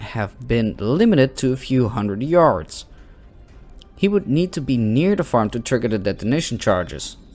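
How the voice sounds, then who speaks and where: Music plays behind a man with a non-native accent. His medium pitch swings very widely as he talks at a fairly slow pace. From Netherlands. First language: not English. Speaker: gaming youtuber. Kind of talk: let's play commentary with reading aloud. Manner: slow reading.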